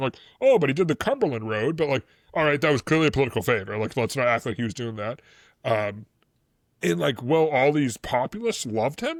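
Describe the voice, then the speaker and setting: A man's medium-pitched voice in a Boston accent, animated in tone with lively intonation and a fairly quick pace, on a very clean recording with a silent background and a dry, close sound with no echo. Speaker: history podcast co-host. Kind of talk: casual chat. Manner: loud, animated; fast, filler-heavy.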